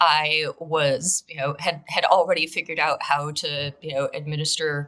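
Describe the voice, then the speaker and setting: The woman's delivery moves at a fairly slow pace. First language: Russian. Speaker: cybersecurity director. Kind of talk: interview. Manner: frequent fillers and restarts.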